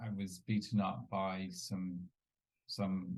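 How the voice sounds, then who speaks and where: A man speaks in a London accent. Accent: British English, London. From England, East London. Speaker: entrepreneur and business coach. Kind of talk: interview. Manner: hesitant, many fillers.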